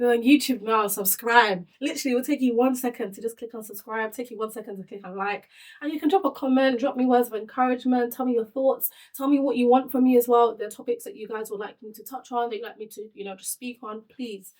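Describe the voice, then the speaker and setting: A woman's high, animated voice at a very fast pace, with hardly any pauses and big swings in loudness. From Nigeria, moved to UK at eleven. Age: 30s. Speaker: podcast host. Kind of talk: casual chat.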